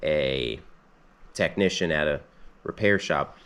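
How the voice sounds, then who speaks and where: A man's voice with vocal fry. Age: 20s. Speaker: mechanic, channel owner. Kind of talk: casual vlog storytelling. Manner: casual with many fillers (um, uh).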